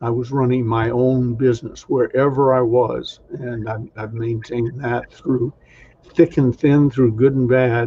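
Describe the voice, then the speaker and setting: At a fairly slow pace, a man with an American accent and a medium pitch sounds somewhat breathy, his intonation monotone and flat. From US South, Atlanta. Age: 70s. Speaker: sales trainer. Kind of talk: interview.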